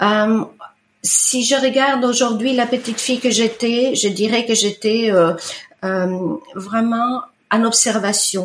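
Speaking very slowly with very even loudness and fairly even intonation, a woman with an Italian accent uses a fairly high pitch. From Italy, Lake Como (Bellano). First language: Italian (speaking French). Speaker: iridologist. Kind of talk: testimony. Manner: hesitant, many fillers.

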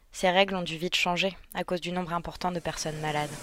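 A woman with a fairly low pitch speaks at a fairly quick pace. The recording is very clean, with a silent background. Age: 20s. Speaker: intensive care nurse. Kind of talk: scripted narration.

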